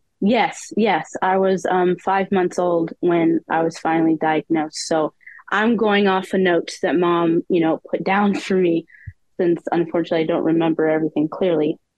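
A woman with an ordinary speaking voice talks at a fairly low pitch, with fairly even intonation and very even loudness. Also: moderate pace. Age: 20s. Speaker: poet with a rare disease. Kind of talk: casual interview.

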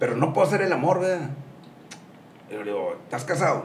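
The clip has audible room echo along with noticeable background noise. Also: man. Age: 60s. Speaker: gym owner and businessman. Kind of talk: casual interview.

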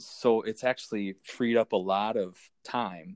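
With an Upper Midwest accent, a man talks in a fairly low, monotone voice with flat intonation, recorded dry and close with no echo against a quiet background. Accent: Upper Midwest American. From Minnesota. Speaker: hockey stats volunteer. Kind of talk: interview.

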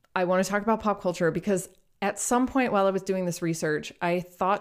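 Recorded very cleanly with a silent background, a woman speaks in an ordinary speaking voice at a medium pitch with ordinary pitch variation. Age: 30s. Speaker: podcast co-host on magic history. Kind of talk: casual chat.

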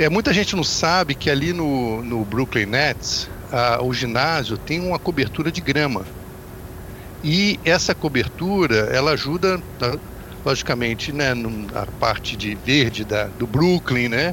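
Lively intonation marks this man's medium-pitched voice. He talks at a fairly slow pace with noticeable background noise. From Brazil, Volta Redonda (Rio de Janeiro state). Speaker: basketball commentator. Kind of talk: podcast sports discussion.

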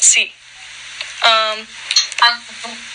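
Very slow speech from a woman, noticeable background noise throughout. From Colorado mountains, US. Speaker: Spanish student. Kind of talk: language practice conversation. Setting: video call. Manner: halting, hesitant beginner speech.

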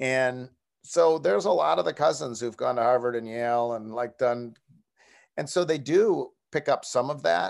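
Against a quiet background, a man with an American accent uses an ordinary speaking voice at a medium pitch and moderate pace, with lively intonation. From Buffalo, New York. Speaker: sports columnist and radio host. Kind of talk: casual interview.

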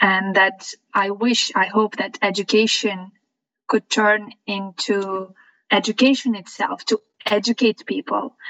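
With a bright, sharp tone, a woman speaks at a fairly slow pace and with fairly even intonation. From Lithuania. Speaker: music teacher and entrepreneur. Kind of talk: interview conversation.

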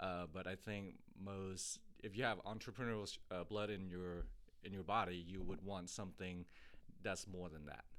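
Speaking with a Thai accent, a man has a very deep, low pitch. His pace is moderate and his intonation fairly even. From Thailand, moved to Texas at eleven. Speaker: fitness coach and gym owner. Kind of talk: interview.

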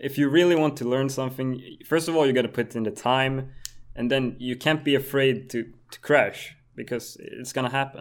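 A man speaks with a Swedish accent at medium pitch and a moderate pace. His intonation is fairly even, though his loudness swings widely. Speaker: moped stunt rider and YouTuber. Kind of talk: casual chat.

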